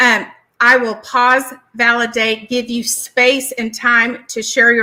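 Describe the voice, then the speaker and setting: At a fairly slow pace, a woman with a Southern US accent speaks high and bright with a sharp tone, in a monotone, flat intonation. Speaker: licensed therapist and speaker. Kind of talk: educational presentation.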